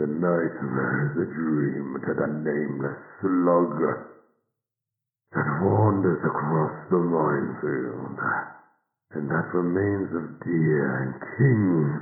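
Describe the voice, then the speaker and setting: A put-on character voice from a man, very deep and low, very slow with long, frequent pauses, and a slight echo. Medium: audio drama.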